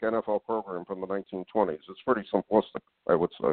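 At a moderate pace, a man talks in an unremarkable speaking voice pitched fairly low. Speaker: radio host and magazine publisher. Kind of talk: radio interview. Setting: live internet radio show.

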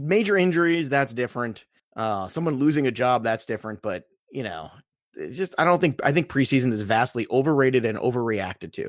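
A man's plain, everyday voice with an American accent, a fairly quick pace and lively intonation, on a very clean recording with a silent background. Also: medium pitch for a man. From Brooklyn, New York. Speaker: fantasy football author and analyst. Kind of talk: casual chat.

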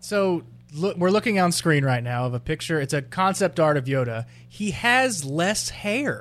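A man speaks at fairly high pitch with very wide pitch swings. Music plays in the background. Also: moderate pace. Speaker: podcast co-host. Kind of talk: casual chat. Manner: animated, does impressions.

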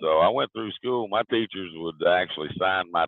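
A man's very deep, low voice with a Southern accent, at a moderate pace. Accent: southern lilt. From US South, southwest Virginia. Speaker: author. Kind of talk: interview. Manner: halting, with fillers.

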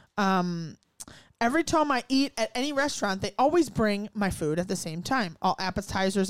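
This voice has an animated tone and very wide pitch swings at a moderate pace. The recording is very clean, with a silent background. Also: woman. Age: 20s. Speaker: podcast host and former restaurant server. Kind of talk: casual chat.

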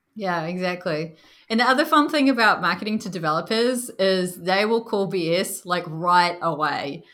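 In a New Zealand accent, a woman speaks at medium pitch and a moderate pace, her animated voice bright and sharp with lively intonation. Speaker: product marketing director. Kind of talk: casual interview chat. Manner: animated, laughs often.

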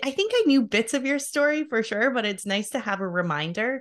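A woman speaks fairly quickly, with noticeable noise in the background. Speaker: podcast host. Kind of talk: casual interview.

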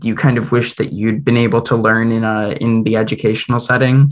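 At a moderate pace, a man with an unremarkable speaking voice talks at a medium pitch. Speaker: student radio interviewer. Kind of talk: interview questions.

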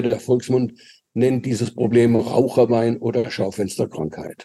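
Speaking at a moderate pace, a man has a medium pitch and a dark, mellow tone. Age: 70s. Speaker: physician, vascular medicine specialist. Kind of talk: interview.

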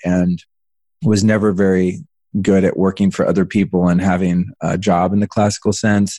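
A man's dark, mellow tone at fairly low pitch, moderate in pace and fairly even in intonation, with a dry, close sound and no echo. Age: 40s. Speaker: entrepreneur and former celebrity stylist. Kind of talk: interview.

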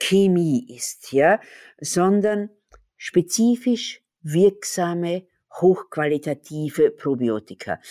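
A woman's fairly low voice with a dark, mellow tone and an Austrian accent, very slow and lively in intonation, in a very clean recording with a silent background and a dry, close sound with no echo. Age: 60s. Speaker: pharmacist and company owner. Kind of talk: interview.

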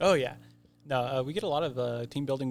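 With an American accent, a man talks in an ordinary speaking voice at medium pitch with fairly even intonation. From rural Oklahoma. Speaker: escape room game designer. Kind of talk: casual chat.

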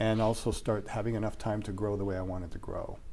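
Audible room echo surrounds a man speaking at medium pitch with a General American accent. His tone is dark and mellow. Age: 60s. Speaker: media crisis trainer. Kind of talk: casual interview.

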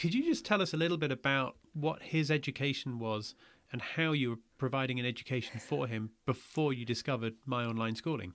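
A man with an ordinary speaking voice, medium pitch, ordinary pitch variation and a fairly quick pace. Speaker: podcast host. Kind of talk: interview, friendly conversation.

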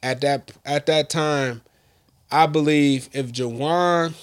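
In a very clean recording with a silent background, a man with an American accent has an unremarkable speaking voice, fairly high in pitch with ordinary pitch variation. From Michigan. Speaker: sports podcast host. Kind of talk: casual chat.

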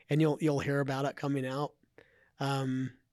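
A man's medium-pitched voice in a monotone, flat delivery at a fairly quick pace. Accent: American. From Idaho, US. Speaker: entrepreneur and investor. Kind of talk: casual interview.

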